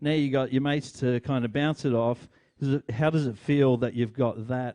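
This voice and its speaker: Dry and close with no echo, a man with an Australian accent speaks at a moderate pace and medium pitch, his tone dark and mellow, his intonation fairly even and his loudness very even. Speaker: podcast host. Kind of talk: interview. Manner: halting.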